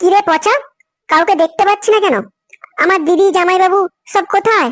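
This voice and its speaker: A woman does a squeaky, cartoonish character voice at an extremely high pitch, with ordinary pitch variation and very even loudness. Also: moderate pace. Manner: friendly, polite.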